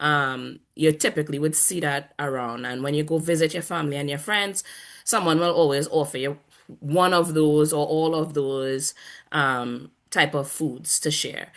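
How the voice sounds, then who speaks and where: With a Trinidadian accent, a woman speaks at a very deep, low pitch and a moderate pace, her intonation fairly even against a quiet background. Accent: Trinidadian, used on purpose here. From Trinidad and Tobago. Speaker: panel guest. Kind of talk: casual panel discussion.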